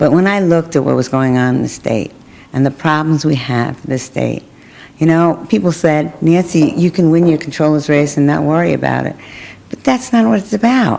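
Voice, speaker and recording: The speaker talks at a moderate pace in a Brooklyn accent, with lively intonation. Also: woman, very deep, low pitch for a woman. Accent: New York (Brooklyn). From Brooklyn, New York. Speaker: politician. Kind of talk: interview.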